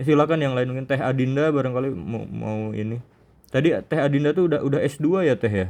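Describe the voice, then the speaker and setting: With a Sundanese accent, a man talks at a very fast pace. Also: medium pitch for a man, ordinary pitch variation. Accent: Sundanese-accented Indonesian. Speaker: Islamic teacher. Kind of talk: religious study session.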